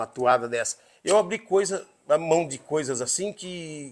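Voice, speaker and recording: A man's bright, sharp voice at a moderate pace. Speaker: rodeio announcer. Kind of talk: interview answer.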